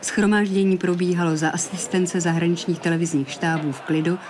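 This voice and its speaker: The tone is deadpan. Background noise is noticeable. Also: woman. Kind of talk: 1989 TV news report narration. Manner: formal, measured, deadpan newsreader delivery.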